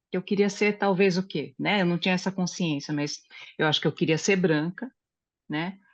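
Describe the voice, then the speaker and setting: A woman at a medium pitch with ordinary pitch variation against a quiet background. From Brazil. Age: 60s. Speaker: study group participant. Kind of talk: group discussion, personal testimony. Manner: halting, with many fillers.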